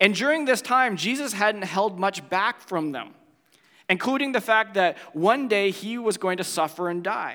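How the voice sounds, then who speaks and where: A man's high, raised, projected voice with a bright, sharp tone and ordinary pitch variation. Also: moderate pace. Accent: Canadian. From Ontario, Canada. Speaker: pastor. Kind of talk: sermon.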